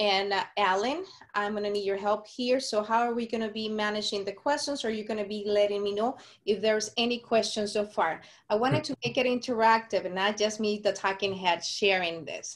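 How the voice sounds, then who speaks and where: In a Mexican accent, a woman speaks at a fairly quick pace with fairly high pitch and fairly even intonation. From Sonora, Mexico. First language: Spanish. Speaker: community outreach speaker. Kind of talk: webinar presentation.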